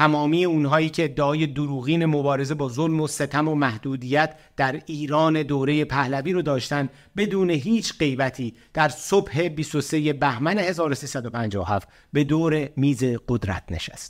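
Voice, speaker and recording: A man's plain, everyday voice, fairly high in pitch with ordinary pitch variation and a fairly slow pace, on a very clean recording with a silent background. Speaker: documentary narrator. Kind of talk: scripted narration. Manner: formal.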